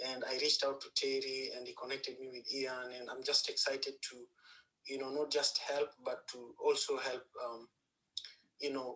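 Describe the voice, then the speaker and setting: A man with a Kenyan accent talks at a moderate pace. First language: Luo. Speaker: panel guest. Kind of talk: panel discussion. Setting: live audio chat room.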